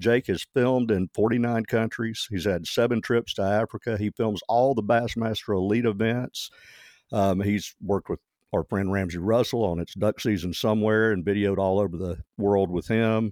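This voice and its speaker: Fairly low in pitch and with fairly even intonation, a man speaks in a Southern US accent, the sound dry and close with no echo on a very clean recording with a silent background. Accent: Southern drawl. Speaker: podcast host. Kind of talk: casual interview chat.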